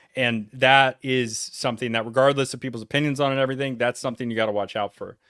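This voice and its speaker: A very fast man's voice at medium pitch, with a New England accent, monotone, flat intonation and a bright, sharp tone. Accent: preppy New England. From Connecticut and North Carolina. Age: 40s. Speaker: reaction streamer. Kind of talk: reaction livestream commentary. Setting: livestream.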